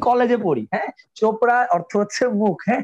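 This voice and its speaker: A man's voice, dry and close, with no echo. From Old Dhaka, Bangladesh. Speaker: university alumnus, theater actor and IELTS trainer. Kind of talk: casual interview. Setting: live online stream.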